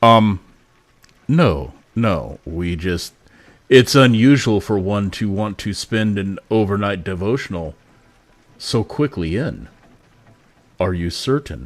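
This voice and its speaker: Putting on a rumbling character voice, a man speaks at a fairly low pitch and a fairly slow pace, with lively intonation and long, frequent pauses. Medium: actual play. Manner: measured, formal.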